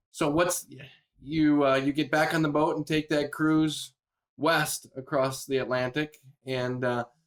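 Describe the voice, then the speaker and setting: At a fairly slow pace, a man with a fairly high pitch speaks in a monotone, flat intonation. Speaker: podcast host. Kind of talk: podcast interview questions.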